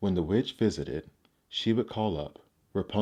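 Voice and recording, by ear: A quiet background behind a natural voice reading aloud, its pitch varying an ordinary amount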